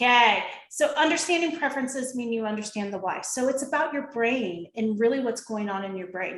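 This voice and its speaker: A woman talks at a moderate pace with fairly high pitch and lively intonation. It is an unremarkable speaking voice. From US Midwest, Ohio. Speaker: behavioral consultant and coach. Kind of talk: interview with presentation.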